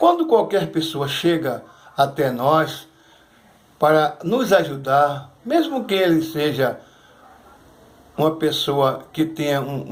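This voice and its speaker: Delivery comes at a very slow pace with ordinary pitch variation. Room echo is audible. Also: man. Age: 60s. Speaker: churchgoer giving testimony. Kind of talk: testimony. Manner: halting.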